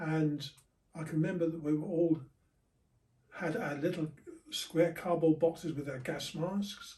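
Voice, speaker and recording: Pausing long and often, a man with a fairly high pitch speaks at a fairly slow pace with fairly even intonation. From southern England. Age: 80s+. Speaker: war veteran. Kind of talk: interview.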